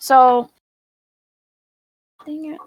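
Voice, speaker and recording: With a high pitch and fairly even intonation, a woman speaks at a very slow pace in a dry, close sound with no echo. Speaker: virtual world modding teacher. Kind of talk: tutorial.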